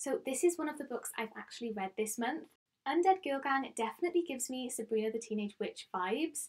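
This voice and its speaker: With a Welsh accent, a woman speaks at a fairly quick pace in a high pitch, her intonation lively. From Wales. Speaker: book vlogger. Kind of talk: casual chat.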